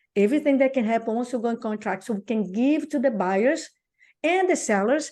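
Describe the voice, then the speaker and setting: At a moderate pace and with lively intonation, the speaker talks in a Brazilian accent against a quiet background. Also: woman. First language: Portuguese. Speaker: real estate coach. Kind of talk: casual interview chat. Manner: animated.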